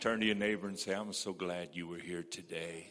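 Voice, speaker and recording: A man's normal speaking voice, fairly low in pitch, with fairly even intonation. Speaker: pastor. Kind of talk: church service welcome, prayer and announcements. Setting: church.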